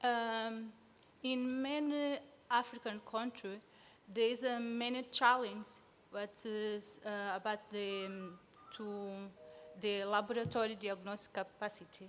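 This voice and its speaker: A woman's fairly high voice with a Portuguese accent, a fairly slow pace, long and frequent pauses, and music in the background. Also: fairly even intonation. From Sao Tome and Principe. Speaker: field epidemiology student. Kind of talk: conference presentation. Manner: halting.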